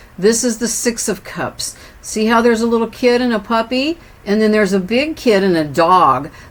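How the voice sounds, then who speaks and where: With noticeable background noise behind her, a woman speaks at a fairly high pitch. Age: 60s. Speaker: tarot reader. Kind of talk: tarot reading. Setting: indoors with windows open.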